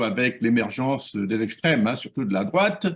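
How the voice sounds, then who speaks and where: Lively intonation in an ordinary speaking voice. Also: man. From Gabon. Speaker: professor and political activist. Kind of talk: interview.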